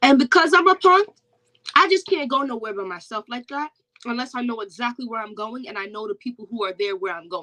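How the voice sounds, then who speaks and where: A woman's high, raised and projected voice with very wide pitch swings, at a fairly quick pace, dry and close with no echo. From Jamaica. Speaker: perfume content creator. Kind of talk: casual chat. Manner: loud.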